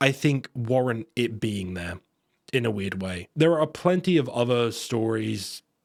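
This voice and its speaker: Speaking fairly slowly in an ordinary speaking voice, a man with a medium pitch uses lively intonation, and the sound is dry and close with no echo. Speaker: video game reviewer. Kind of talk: video essay narration.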